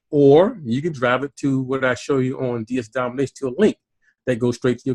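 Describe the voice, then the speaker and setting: A man's medium-pitched voice at a fairly quick pace, dry and close with no echo, over a quiet background. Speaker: online business trainer. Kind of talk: tutorial. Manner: fast; halting, many fillers.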